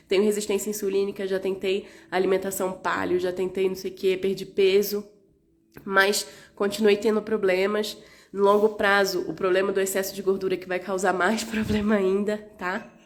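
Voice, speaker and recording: Her pitch sits in the medium range, and her intonation is monotone and flat. The woman keeps a moderate pace. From Rio de Janeiro, Brazil. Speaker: naturopath. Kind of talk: live stream health talk.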